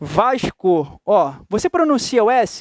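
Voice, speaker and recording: A man's voice swings very widely in pitch, with a dry, close sound and no echo on a very clean recording with a silent background. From Rio de Janeiro, Brazil. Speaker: teacher. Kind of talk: lecture. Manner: animated.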